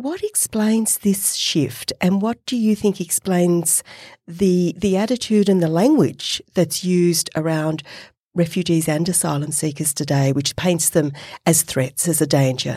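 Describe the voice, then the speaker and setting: With an Australian accent, a woman speaks at a fairly slow pace in a fairly low pitch with ordinary pitch variation. Her tone is dark and mellow, and the recording is very clean with a silent background. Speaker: professor and podcast co-host. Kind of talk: casual chat and interview. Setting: studio.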